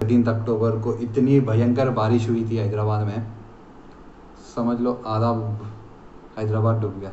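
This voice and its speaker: At a moderate pace, a somewhat breathy man speaks in a flat, monotone medium pitch, with audible room echo and light background noise. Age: young. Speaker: vlogger. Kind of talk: casual vlog talk to camera.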